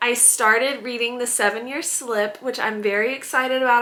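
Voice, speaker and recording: Noticeable background noise sits under fairly quick speech. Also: woman. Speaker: book vlogger. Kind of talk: casual vlog chat. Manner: animated.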